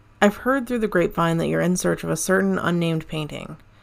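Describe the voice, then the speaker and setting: With an intense, solemn tone, a woman talks at a very fast pace. Her pitch is fairly low. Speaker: cult infiltrator character. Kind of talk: audio drama performance, scripted dramatic dialogue. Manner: hushed, intense, measured, conspiratorial, solemn.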